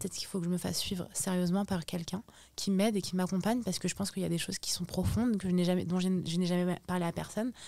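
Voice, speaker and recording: With hardly any pauses, a woman talks at a very fast pace and medium pitch with fairly even intonation, on a very clean recording with a silent background. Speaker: social media influencer. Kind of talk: podcast interview. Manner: loud; halting.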